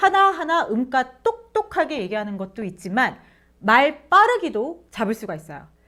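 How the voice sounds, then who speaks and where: Raised and projected, a woman's high voice sounds animated and bright, sharp in tone, with very wide pitch swings and big swings in loudness. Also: moderate pace. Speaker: interview coach and former broadcaster. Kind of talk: tutorial.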